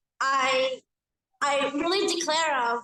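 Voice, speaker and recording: A woman speaks very slowly in a raised, projected voice that is high-pitched with a bright, sharp tone. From Bulgaria. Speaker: audience member. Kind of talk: audience question. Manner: halting.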